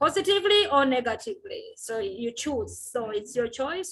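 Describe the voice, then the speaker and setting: A woman's high voice, bright and sharp in tone, is raised and projected, with very wide pitch swings. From Uganda. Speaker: physiotherapist and women's health advocate. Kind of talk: interview.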